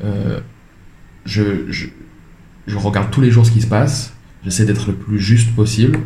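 A man's fairly low, somewhat breathy voice with a dark, mellow tone and audible room echo. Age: 30s. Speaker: creative director and entrepreneur. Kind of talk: interview. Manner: hesitant, many repetitions and fillers.

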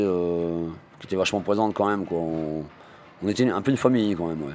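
Here a man speaks at a very fast pace. His intonation stays fairly even. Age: 40s. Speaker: unemployed worker. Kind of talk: interview testimony. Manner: hesitant, many fillers.

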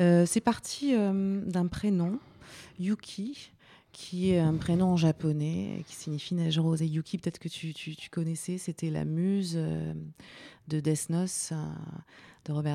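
Very slowly and with long, frequent pauses, a woman speaks at a fairly low pitch in a dark, mellow tone with ordinary pitch variation. Her loudness swings widely, and the recording is very clean with a silent background. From France, Vosges. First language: not French (speaking French). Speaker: singer-songwriter. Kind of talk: radio interview. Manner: halting.

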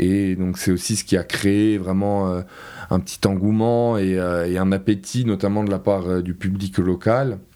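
At a very slow pace, a man talks with a very deep, low pitch and fairly even intonation. His tone is dark and mellow. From Corsica, Porto-Vecchio. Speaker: contemporary art event organiser. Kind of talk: interview. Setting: studio. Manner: halting, many hesitations.

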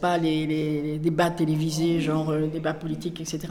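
A woman's very deep, low voice in monotone, flat intonation at a moderate pace, with audible room echo and noticeable background noise. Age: old. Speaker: volunteer tutor. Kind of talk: interview testimony.

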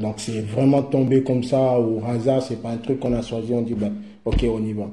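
A man with a dark, mellow tone speaks at a medium pitch and a moderate pace, somewhat breathy. His intonation is monotone and flat, and there is audible room echo. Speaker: young migrant. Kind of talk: testimony. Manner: halting.

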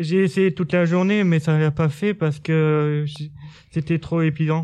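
Over a quiet background, a high-pitched man speaks with monotone, flat intonation. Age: 20s. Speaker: sheltered workshop worker. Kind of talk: interview. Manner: halting.

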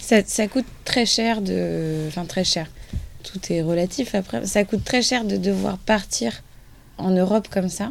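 A woman with an ordinary speaking voice talks at a fairly slow pace. Her medium pitch carries lively intonation. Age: 20s. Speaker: retail sales manager, charity raid team member. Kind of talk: radio interview.

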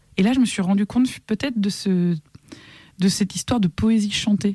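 A woman speaks in a dark, mellow tone that is somewhat breathy, at a moderate pace with ordinary pitch variation. The sound is dry and close, with no echo. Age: 30s. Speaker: singer-songwriter. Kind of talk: interview conversation.

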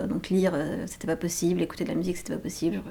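The speech comes at a very fast pace. There is noticeable background noise. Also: woman. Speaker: interviewee recounting prison experience. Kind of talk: casual chat, personal interview testimony. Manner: halting, hesitant, casual.

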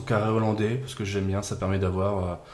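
A man talks at a moderate pace with a fairly low pitch. His intonation is monotone and flat, and there is audible room echo. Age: 30s. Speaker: improv actor and event organiser. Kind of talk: casual chat.

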